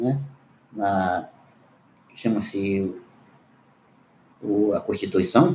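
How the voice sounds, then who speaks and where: Speaking very slowly with long, frequent pauses, a man uses a fairly low pitch and a dark, mellow tone. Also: ordinary pitch variation. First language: Munduruku (speaking Portuguese). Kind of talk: panel debate remarks. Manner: halting, with hesitations.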